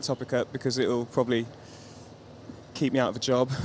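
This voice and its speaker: This man speaks in a British accent. His pitch sits in the medium range. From London, England. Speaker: touring guitarist. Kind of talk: interview.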